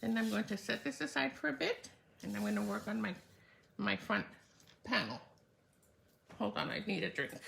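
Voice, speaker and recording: At a fairly quick pace broken by long, frequent pauses, a woman speaks at a very deep, low pitch with very wide pitch swings. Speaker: card-making demonstrator. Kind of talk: live craft tutorial.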